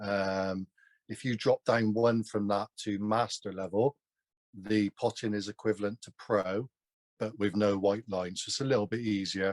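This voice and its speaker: With a Somerset accent, a man speaks at a moderate pace and fairly low pitch with fairly even intonation, the sound dry and close with no echo on a very clean recording with a silent background. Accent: Somerset twang, south-west English. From Gloucestershire, south-west England. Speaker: online snooker video game champion and streamer. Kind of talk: casual interview chat.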